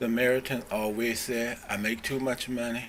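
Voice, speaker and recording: Delivery is at a moderate pace with fairly even intonation. Background noise is noticeable. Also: man. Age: 70s. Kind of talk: public comment at city meeting. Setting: city commission meeting.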